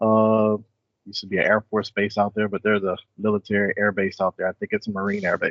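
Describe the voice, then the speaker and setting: A man with a Southern Louisiana accent. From South Louisiana, US South. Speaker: software program manager, military veteran. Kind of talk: casual interview chat.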